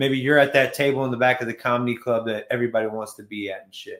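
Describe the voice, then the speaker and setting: A man rattles along at a very fast pace at medium pitch. His intonation is monotone and flat. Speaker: live stream host. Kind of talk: casual talk on live stream.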